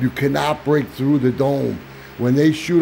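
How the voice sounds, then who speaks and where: Noticeable background noise runs under this recording. The male speaker's voice sits fairly high. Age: 60s. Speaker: YouTuber, flat earth promoter. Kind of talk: casual conversation. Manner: halting.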